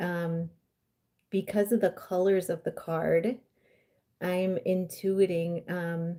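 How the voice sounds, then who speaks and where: A woman's dark, mellow voice in an American accent, medium in pitch, monotone and flat, at a very slow pace with long, frequent pauses. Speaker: intuitive coach and card reader. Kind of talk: live-stream card reading. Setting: live stream.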